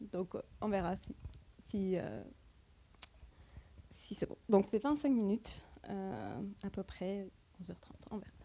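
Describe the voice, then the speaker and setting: A woman with a non-native accent speaks at a fairly slow pace, leaving long, frequent pauses. Her tone is dark and mellow, with ordinary pitch variation. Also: medium pitch for a woman. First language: not French (speaking French). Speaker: computer vision researcher, keynote speaker. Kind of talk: conference keynote talk. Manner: halting, searching for words.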